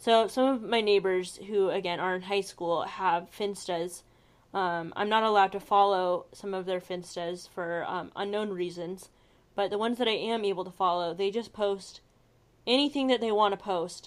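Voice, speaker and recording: Medium-pitched woman with an ordinary speaking voice, fairly even intonation and a moderate pace. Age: 20s. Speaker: podcast co-host. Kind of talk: casual chat.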